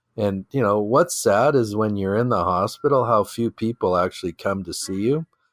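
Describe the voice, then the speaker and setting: With a Canadian accent and a normal speaking voice, a man of medium pitch talks at a moderate pace with hardly any pauses, in a dry, close sound with no echo on a very clean recording with a silent background. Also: ordinary pitch variation. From Canadian prairies (Regina, Saskatchewan). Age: 60s. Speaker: entrepreneur. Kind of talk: podcast interview. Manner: conversational, frequent fillers and repetitions.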